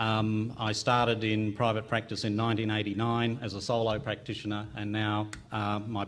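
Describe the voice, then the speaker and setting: With an Australian accent, a man speaks at a moderate pace and fairly low pitch in monotone, flat intonation. Audible room echo surrounds the voice. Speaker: family physician, conference panelist. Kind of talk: conference panel talk. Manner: hesitant with frequent ums.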